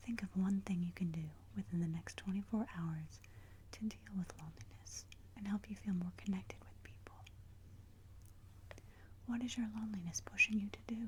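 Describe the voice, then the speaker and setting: At a moderate pace, the speaker leaves long, frequent pauses over noticeable background noise. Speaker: ASMR creator. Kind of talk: guided meditation. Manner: soft-spoken, whispered.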